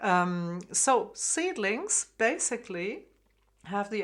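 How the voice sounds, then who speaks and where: Speaking very slowly with a German accent, a woman uses a medium pitch on a very clean recording with a silent background. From Germany, Frankfurt. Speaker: harp teacher. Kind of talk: tutorial. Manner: hesitant, many fillers.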